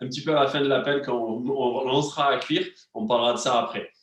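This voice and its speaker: A man with an animated tone at a fairly quick pace. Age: 30s. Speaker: wellness and nutrition coach. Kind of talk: live cooking class stream. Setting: online live stream with chat. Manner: animated, hesitant with many fillers.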